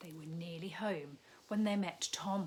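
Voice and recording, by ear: The voice has a slightly mellow tone and ordinary pitch variation. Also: woman, fairly low pitch for a woman, fairly slow pace.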